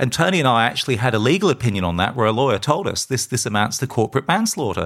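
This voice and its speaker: A very fast man with an Australian accent and very wide pitch swings. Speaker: podcast host and campaigner. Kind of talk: solo podcast monologue. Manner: halting.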